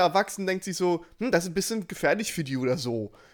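The recording is very clean, with a silent background. A man talks in a high voice. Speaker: podcast co-host. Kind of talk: casual chat. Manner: swallows his greeting words.

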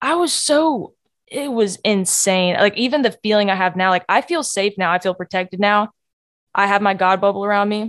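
Quiet surroundings frame a woman speaking at a moderate pace. Her medium pitch shows ordinary variation. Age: 20s. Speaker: podcast host sharing personal story. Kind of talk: personal testimony monologue. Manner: casual with fillers and laughs.

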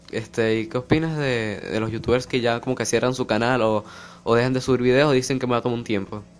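With a Venezuelan accent, a man speaks at a very fast pace, his medium pitch kept in fairly even intonation. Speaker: podcast host. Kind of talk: casual chat interview.

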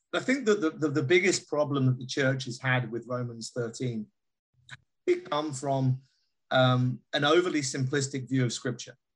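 A man with a British accent talks at a moderate pace and a medium pitch. His voice is somewhat breathy, with ordinary pitch variation. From Britain. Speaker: pastor and author. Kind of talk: interview.

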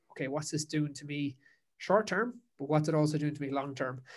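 This man speaks in a Kerry accent at a fairly high pitch. His pace is fairly quick and his intonation fairly even. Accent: Kerry Irish. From Ireland, Dingle, County Kerry. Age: 20s. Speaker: endurance coach and podcaster. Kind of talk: casual interview. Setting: remote call.

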